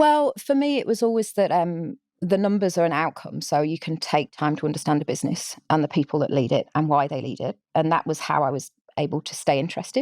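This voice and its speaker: A woman with a strong English accent, fairly low pitch, lively intonation and fairly quick pace, in a dry, close sound with no echo and a very clean recording with a silent background. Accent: English, still strong. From England. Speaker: social entrepreneur. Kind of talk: podcast interview. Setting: live podcast recording.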